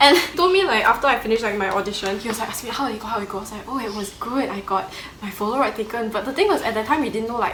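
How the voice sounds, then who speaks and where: A woman with a fairly high pitch talks at a very fast pace with lively intonation, heard through audible room echo and noticeable background noise. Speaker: plus-size model. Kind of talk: casual chat.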